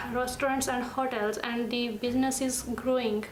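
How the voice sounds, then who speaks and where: A woman with a Punjabi Indian accent speaks at a moderate pace and a high pitch. Audible room echo and noticeable background noise surround her voice. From Punjab, India. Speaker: international student. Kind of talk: interview testimony. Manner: halting.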